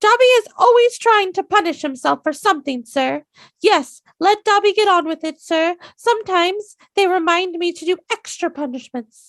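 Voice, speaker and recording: Someone puts on a character voice at an extremely high pitch. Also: moderate pace. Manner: servile, eager.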